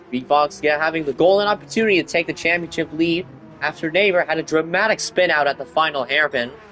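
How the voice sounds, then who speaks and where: Fairly high-pitched male speech, with noticeable noise in the background. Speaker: sim racing league commentator. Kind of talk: live commentary. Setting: livestream. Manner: animated.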